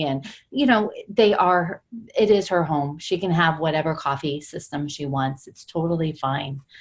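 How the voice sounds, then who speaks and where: A woman speaks at a fairly slow pace. There is noticeable background noise behind her. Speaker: coach. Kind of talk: group coaching call discussion. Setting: group call. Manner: talking quietly.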